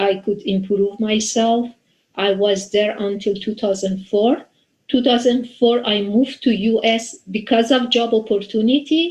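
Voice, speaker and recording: Speaking at a moderate pace with a Persian accent, a woman uses a fairly high pitch, ordinary pitch variation and a somewhat breathy sound. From Iran. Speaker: software developer and community volunteer. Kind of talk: interview. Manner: halting.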